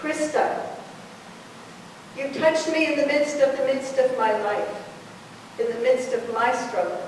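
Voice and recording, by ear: A woman speaks with ordinary pitch variation and a slightly mellow tone. Strong echo fills the room around her.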